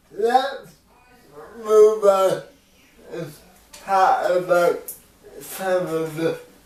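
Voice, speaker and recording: Speech with an American accent moves at a very slow pace with long, frequent pauses, and noticeable background noise can be heard. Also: man. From US Pacific Northwest. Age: 20s. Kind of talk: casual family conversation.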